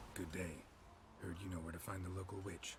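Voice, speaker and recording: A put-on character voice moves at a fairly quick pace. Loud background noise sits behind it. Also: man, very deep, low pitch for a man. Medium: video game. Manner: terse, clipped.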